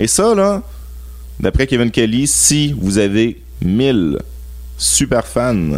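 A man in a Quebec accent at a very slow pace, with music in the background. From Quebec (Laval, Montreal suburbs). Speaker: music marketing specialist. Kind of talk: radio interview.

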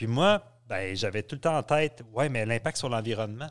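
A man with a plain, everyday voice and a medium pitch uses lively intonation on a very clean recording with a silent background. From Quebec, Abitibi. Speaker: university professor. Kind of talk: interview.

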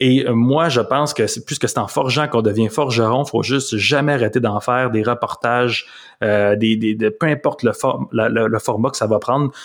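On a very clean recording with a silent background, a man with a plain, everyday voice speaks at a moderate pace, with medium pitch and fairly even intonation. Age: 30s. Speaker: journalist. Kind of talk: interview.

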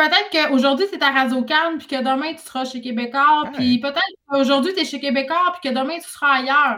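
The voice is raised and projected, bright and sharp in tone, with big swings in loudness. It moves at a fairly quick pace with ordinary pitch variation. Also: woman, high pitch for a woman. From Quebec, Saguenay (Jonquière). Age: 30s. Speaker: author and radio host. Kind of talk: casual chat.

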